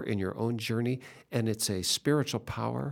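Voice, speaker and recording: Recorded very cleanly with a silent background, a man has an unremarkable speaking voice, medium in pitch with ordinary pitch variation. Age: 60s. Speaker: radio host for a church ministry. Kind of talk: religious radio interview. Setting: studio.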